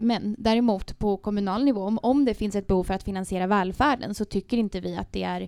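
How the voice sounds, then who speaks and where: A woman with a dark, mellow tone talks at a medium pitch, her intonation fairly even. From Spain. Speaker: local politician. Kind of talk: political interview.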